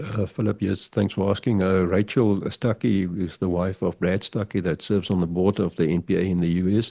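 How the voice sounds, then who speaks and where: In a South African accent, this voice has a dark, mellow tone and fairly even intonation. It runs at a fairly quick pace with very even loudness and hardly any pauses. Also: man, very deep, low pitch for a man. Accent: South African (Afrikaans). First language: Afrikaans. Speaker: pigeon fancier and figurine artist. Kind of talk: podcast interview. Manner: halting, repeats words.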